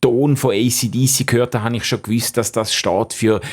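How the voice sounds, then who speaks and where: A man's intonation stays fairly even at a medium pitch, and he speaks at a moderate pace. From Switzerland, Schaffhausen. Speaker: theologian, former pastor. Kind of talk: radio interview. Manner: many fillers and hesitations.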